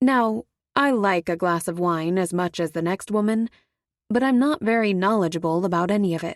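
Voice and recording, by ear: Reading aloud in a natural voice, the speaker uses ordinary pitch variation against a quiet background.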